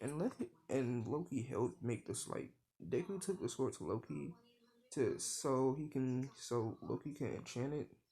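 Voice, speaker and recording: Lively intonation and vocal fry mark this man's medium-pitched voice. His tone is dark and mellow, and his pace is moderate. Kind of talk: improvised storytelling. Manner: halting.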